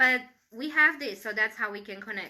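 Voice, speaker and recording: A woman with a Romanian accent speaks at a high pitch in a bright, sharp tone. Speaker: Reiki practitioner and teacher. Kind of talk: Q&A livestream talk. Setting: live video stream. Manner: conversational, with frequent fillers.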